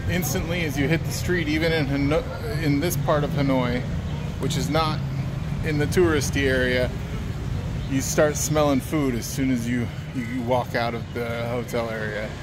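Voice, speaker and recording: The speaker keeps a moderate pace broken by long, frequent pauses, with noticeable background noise. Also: man. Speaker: travel vlogger. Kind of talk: casual chat. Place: street. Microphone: phone near.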